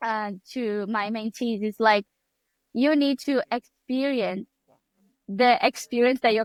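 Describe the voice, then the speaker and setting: A woman speaks with a Brazilian accent, the sound dry and close with no echo. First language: Portuguese. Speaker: photographer and mentor. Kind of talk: podcast interview.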